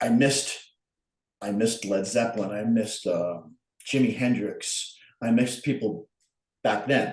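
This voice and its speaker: Through audible room echo, a man speaks at a moderate pace and medium pitch, his intonation fairly even and his pauses long and frequent. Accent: Long Island. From Long Island, New York. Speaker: artist. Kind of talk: casual chat.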